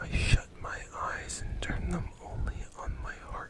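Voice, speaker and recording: Clearly audible background noise surrounds a whisper delivered very slowly. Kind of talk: ASMR poetry reading. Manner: soft, quiet, late-night delivery.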